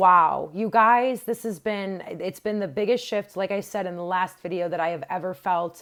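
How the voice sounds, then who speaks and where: In a very clean recording with a silent background, a woman's medium-pitched voice shows ordinary pitch variation. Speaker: tarot reader. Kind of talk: tarot reading. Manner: animated.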